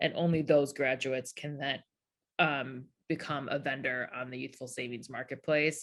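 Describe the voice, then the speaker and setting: The intonation stays monotone and flat while the loudness swings widely. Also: woman, very deep, low pitch for a woman. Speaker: founder of youth entrepreneurship program. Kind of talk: conference talk Q&A. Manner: fast.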